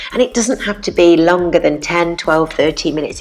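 Speaking with a British accent, a woman keeps to a moderate pace. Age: 40s. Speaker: fitness presenter and educator. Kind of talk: tutorial. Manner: animated. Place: home room. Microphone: lapel.

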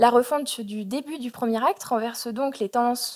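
Moderate pace and ordinary pitch variation. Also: woman. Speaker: doctoral student. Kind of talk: conference paper. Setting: auditorium.

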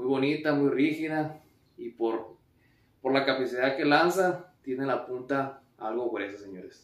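A man talks fairly slowly with ordinary pitch variation, audible room echo around him. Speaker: fishing vlogger. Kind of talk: casual vlog chat. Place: home room. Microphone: camera far.

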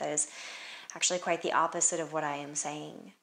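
A woman's gentle, soothing tone carries fairly even intonation. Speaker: yoga instructor. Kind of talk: guided meditation with spiritual, prayer-like reflective questions. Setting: home yoga studio, seated on mat. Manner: slow, gentle, soothing invitational pacing; warm, reassuring and contemplative. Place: home room. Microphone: camera far.

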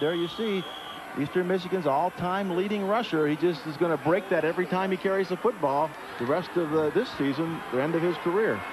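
Noticeable background noise sits behind a man with a high pitch who talks at a moderate pace with ordinary pitch variation. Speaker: color analyst, former linebacker. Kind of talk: sports color commentary. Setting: broadcast booth at stadium. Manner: analytical, measured, explanatory.

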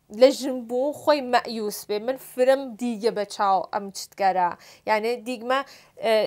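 A woman speaks at a moderate pace in a high pitch with ordinary pitch variation against a quiet background. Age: 30s. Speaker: film and stage actress; stage actress. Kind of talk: talk show interview. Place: studio.

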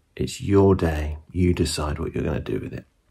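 A man speaks at an extremely low pitch with vocal fry and a dark, mellow tone. His pace is moderate and his pitch variation ordinary.

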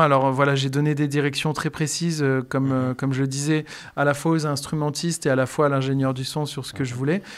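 Fairly even intonation runs through delivery at a fairly quick pace. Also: man. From France, Bourbonnais (Allier, near Moulins); France. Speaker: singer-songwriter and music teacher; music teacher. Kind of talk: radio interview. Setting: radio studio. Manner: hesitant, many fillers. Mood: calm, friendly. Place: home room. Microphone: studio mic.

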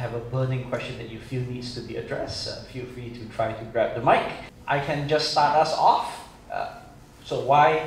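A man talks at a moderate pace with fairly even intonation. Light background noise and audible room echo come through. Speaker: forum moderator. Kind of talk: moderator introduction and opening remarks. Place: hall.

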